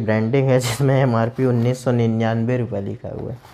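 Over light background noise, a man speaks with monotone, flat intonation. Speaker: tech reviewer. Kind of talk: casual product review. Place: home room. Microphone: lapel.

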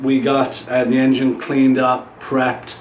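A man speaks at a moderate pace with audible room echo. Light background noise sits underneath. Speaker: motorcycle build host. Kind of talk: casual vlog chat. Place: garage.

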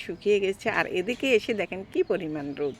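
A woman's ordinary speaking voice at a medium pitch. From Rajshahi, Bangladesh. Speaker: vlogger. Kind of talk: casual vlog narration. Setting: hospital.

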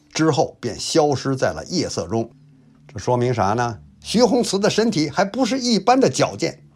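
With vocal fry and a fairly high pitch, a man speaks at a moderate pace. His pitch swings very widely. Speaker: YouTube history storyteller. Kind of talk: storytelling narration. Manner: lively, colloquial storyteller style.

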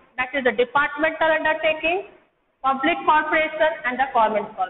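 Audible room echo surrounds a woman who speaks very fast in a high pitch. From India. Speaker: school teacher. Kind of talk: lecture. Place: classroom. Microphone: camera far.

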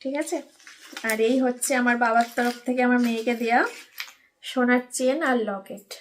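In a high pitch, a woman speaks with a monotone, flat intonation. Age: 30s. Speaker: lifestyle vlogger. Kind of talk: casual vlog talk to camera.

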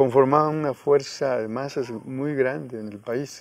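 On a dry recording with no echo, a man with a fairly high pitch speaks with ordinary pitch variation. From Guerrero, Mexico (Coyuca de Benítez); Guerrero, Mexico. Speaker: peasant organizer and rural university founder; interviewee. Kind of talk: interview; interview answer. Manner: halting. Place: garden. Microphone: lapel.

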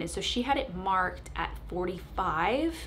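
A woman's fairly bright voice with lively intonation

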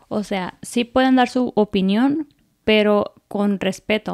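A woman speaks with a fairly high pitch at a fairly slow pace. Her intonation stays fairly even over a quiet background. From Mexico (Apatzingán, Michoacán); Michoacán, Mexico. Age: 20s. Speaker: content creator and homemaker; content creator. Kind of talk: interview. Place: studio. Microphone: studio mic.

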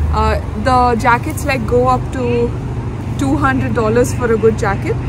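A woman is speaking over crowd noise in the background. The sound is dry, with no echo. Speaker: vlogger advising students. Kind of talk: casual vlog chat. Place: forest. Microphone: camera far.

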